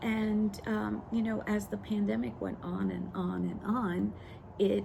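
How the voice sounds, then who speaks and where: Very slow speech from a woman, with the room's echo clearly audible. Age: 60s. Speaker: lifestyle vlogger. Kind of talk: personal story monologue. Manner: halting, many fillers.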